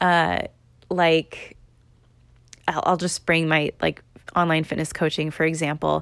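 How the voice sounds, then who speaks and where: A woman speaks at a very deep, low pitch with monotone, flat intonation and long, frequent pauses. Her loudness stays very even on a very clean recording with a silent background. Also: fairly slow pace. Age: 20s. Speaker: podcast host. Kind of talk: casual solo monologue. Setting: recording at home in apartment. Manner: filler-heavy, conversational.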